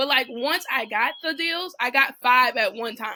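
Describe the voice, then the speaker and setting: A woman's raised, projected voice, high in pitch and bright and sharp in tone, at a moderate pace with ordinary pitch variation. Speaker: real estate investor and coach. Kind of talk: casual chat.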